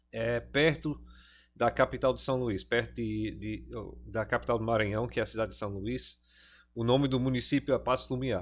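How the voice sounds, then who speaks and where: The man talks at a middling tempo. He has an English accent. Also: very clean recording, silent background. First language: English (speaking Portuguese). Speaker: pastor and teacher. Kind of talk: lecture. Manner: halting, many fillers.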